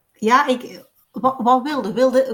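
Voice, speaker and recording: This woman's voice is high-pitched, with ordinary pitch variation. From Belgian Limburg. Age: 50s. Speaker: doula and breastfeeding consultant. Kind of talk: interview storytelling. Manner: lively, fluent storytelling.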